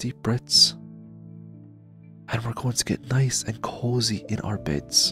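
With music in the background, a man talks very slowly at a medium pitch. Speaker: ASMR gaming creator. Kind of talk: ASMR sleep-inducing gameplay narration. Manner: soft-spoken, slow, relaxing.

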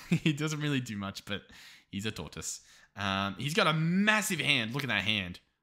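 A man speaks with an Australian accent, fairly high in pitch, with a bright, sharp tone and vocal fry. His pace is moderate, and the recording is very clean with a silent background. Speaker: gaming YouTuber. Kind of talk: gameplay commentary. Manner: casual, hesitant with fillers.

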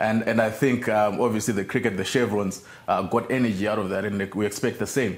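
Monotone, flat intonation marks a man's fairly low-pitched speech at a fairly quick pace. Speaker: rugby team coach, guest. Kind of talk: interview answer. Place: studio. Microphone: lapel.

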